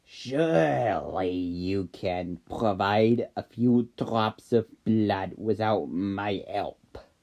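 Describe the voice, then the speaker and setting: In a put-on character voice, the speaker growls very slowly with hardly any pauses. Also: man, fairly low pitch for a man. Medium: read story. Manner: calm, knowing, slightly amused.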